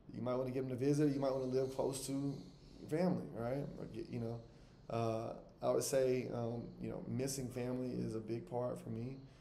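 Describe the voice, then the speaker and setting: A man with an American accent speaks at a fairly quick pace, with audible room echo. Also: medium pitch for a man, fairly even intonation. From US South, Alabama. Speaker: travel vlogger, expat. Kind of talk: casual monologue to camera. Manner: conversational, with frequent fillers and repetitions.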